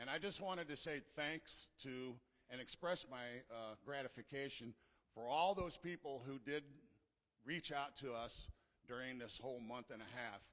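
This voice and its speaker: Pitch varies in an ordinary way as a normal speaking voice proceeds at a moderate pace. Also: man, medium pitch for a man. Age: 60s. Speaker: church member. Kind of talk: testimony. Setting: church.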